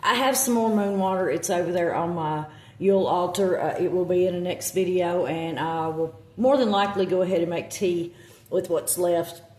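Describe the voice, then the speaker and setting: Against noticeable background noise, a woman with a Southern US accent speaks at a moderate pace, her fairly low pitch showing ordinary pitch variation. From US South. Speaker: witchcraft content creator. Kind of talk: casual vlog talk. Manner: halting, many fillers.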